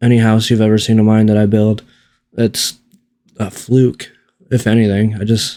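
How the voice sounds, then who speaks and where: A man's mumbling voice, fairly low in pitch with a dark, mellow tone, monotone and flat in intonation, at a moderate pace, on a very clean recording with a silent background. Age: 40s. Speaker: gaming YouTuber. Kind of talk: gameplay tutorial. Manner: casual, rambling commentary.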